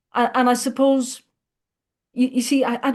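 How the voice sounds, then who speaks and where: In a somewhat breathy voice with a dark, mellow tone, a woman talks at a fairly quick pace. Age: 50s. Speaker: podcast host. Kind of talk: casual chat. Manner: halting.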